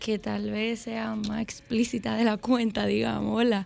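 A woman's voice with ordinary pitch variation, at a moderate pace. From Dominican Republic, Santo Domingo. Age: 20s. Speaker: urban music singer. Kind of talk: interview.

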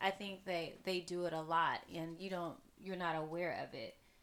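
In an American accent, a woman speaks at a moderate pace with a fairly low pitch. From US South, Texas. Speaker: podcast co-host. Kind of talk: casual chat.

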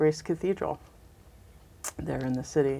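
This is a woman speaking with an American accent. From western US (Southern California, Denver). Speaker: Episcopal priest. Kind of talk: interview conversation.

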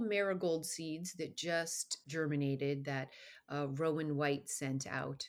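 A woman's ordinary speaking voice with an American accent, fairly low in pitch and fairly slow, in a very clean recording with a silent background. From Colorado. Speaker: radio host and garden writer. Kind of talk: interview.

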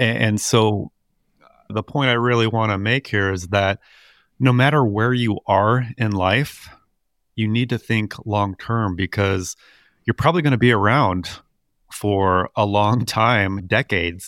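Long, frequent pauses from a man with a fairly low pitch and ordinary pitch variation, in a very clean recording with a silent background. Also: fairly slow pace. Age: 40s. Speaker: podcast co-host, financial advisor. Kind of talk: casual chat. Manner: halting, with frequent repeated words.

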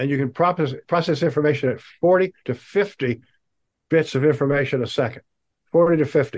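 Fairly quick speech from a man with a fairly high pitch, an American accent and ordinary pitch variation. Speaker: social entrepreneur. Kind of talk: interview. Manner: fast; animated.

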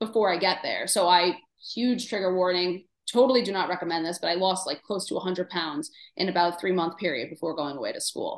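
Speaking with a New York accent, a woman uses a medium pitch and lively intonation at a fairly quick pace. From New York City, Queens. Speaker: dietitian. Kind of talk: casual chat. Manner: animated.

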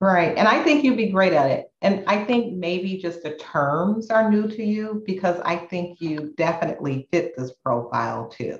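A somewhat breathy woman talks at a moderate pace with lively intonation and hardly any pauses. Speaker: podcast co-host, education professor. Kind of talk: casual chat.

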